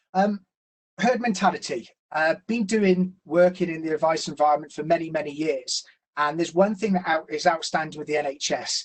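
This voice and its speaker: A man with a Gloucestershire accent speaks at a fairly quick pace. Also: fairly high pitch for a man, ordinary pitch variation. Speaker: financial planner. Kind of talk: educational webinar presentation. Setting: online webinar. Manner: hesitant, many fillers.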